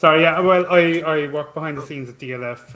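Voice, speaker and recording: With a Cork accent, a man talks at a moderate pace in a bright, sharp tone and fairly even intonation. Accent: Irish, Cork. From Ireland, Cork. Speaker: fantasy football site social media staff. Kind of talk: casual chat.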